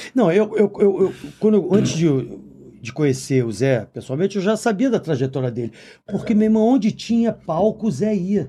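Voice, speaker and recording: This man's high voice has a dark, mellow tone and swings very widely in pitch. He talks at a fairly slow pace. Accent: Rio de Janeiro. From Brazil, Rio de Janeiro (Copacabana). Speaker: podcast co-host and musician. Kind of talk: casual chat. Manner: animated.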